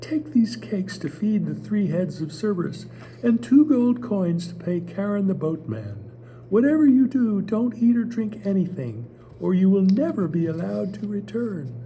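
A put-on character voice at a middle pitch and moderate pace, over clear background noise. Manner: kindly, advising.

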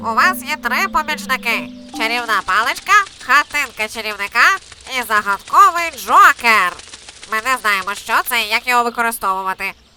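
Against faint music in the background, a woman uses a cartoonish character voice, fairly high in pitch, at a fairly quick pace. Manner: lively, announcing.

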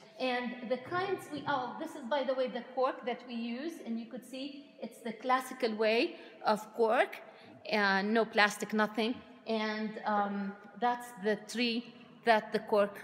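A woman speaks at a fairly slow pace, leaving long, frequent pauses. Her pitch variation is ordinary, and her loudness swings widely. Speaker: winery guide. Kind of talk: tour guide explanation. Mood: friendly, enthusiastic. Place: shop. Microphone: phone near.

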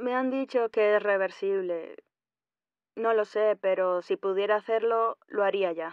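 A woman talks in a normal speaking voice at a fairly high pitch. Her intonation is fairly even and her pace fairly slow. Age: 40s. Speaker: caller. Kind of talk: phone-in question.

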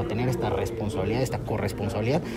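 Amid loud background noise, a man talks with ordinary pitch variation. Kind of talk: press interview answer. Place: hall. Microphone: handheld.

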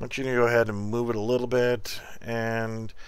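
Audible room echo surrounds a man speaking at a moderate pace in a medium pitch. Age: 40s. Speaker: game developer streamer. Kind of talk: tutorial. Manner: halting.

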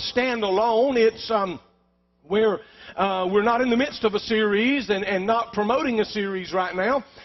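A high-pitched man talks at a moderate pace with ordinary pitch variation. The background is quiet. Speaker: pastor. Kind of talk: sermon. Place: church.

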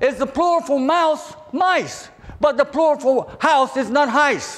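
A man's extremely high-pitched voice, with ordinary pitch variation and a fairly slow pace. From southern Virginia, US South. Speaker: preacher. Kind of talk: sermon. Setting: church. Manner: halting. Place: hall. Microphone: lapel.

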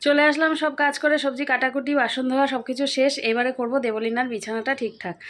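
On a very clean recording with a silent background, a woman speaks at a high pitch. Her intonation is fairly even. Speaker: daily vlogger and homemaker. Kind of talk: casual vlog narration to camera. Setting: at home.

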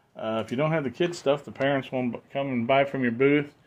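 His pitch moves up and down in an ordinary way as the man talks. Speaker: toy dealer vlogger. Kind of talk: casual vlog chat. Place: home room. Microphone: phone near.

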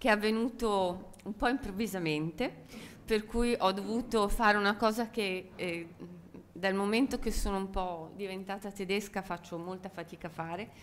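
Light background noise behind a woman at a moderate pace, with ordinary pitch variation. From Italy. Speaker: architect; speaker, architecture professor. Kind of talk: conference talk. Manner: halting. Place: hall. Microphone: podium.

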